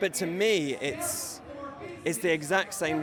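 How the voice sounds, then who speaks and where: A man's voice amid audible room echo, with music playing in the background. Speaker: professional wrestler. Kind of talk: interview.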